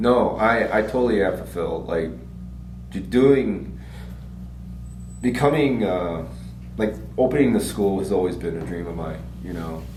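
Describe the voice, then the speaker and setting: With long, frequent pauses and audible room echo, a man speaks in a very deep, low pitch that swings very widely, his loudness shifting in big swings. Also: moderate pace. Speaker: martial arts school owner. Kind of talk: casual chat. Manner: halting.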